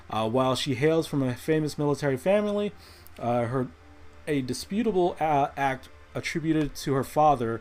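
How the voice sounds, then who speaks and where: Music plays in the background while a man speaks at a moderate pace. His pitch is fairly high and his intonation lively. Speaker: podcast host. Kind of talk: casual chat. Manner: casual, conversational.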